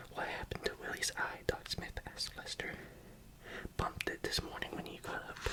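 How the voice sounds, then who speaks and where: The speaker is whispering. Noticeable background noise sits behind the voice. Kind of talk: whispered ASMR book reading. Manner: whispered, soft, calming.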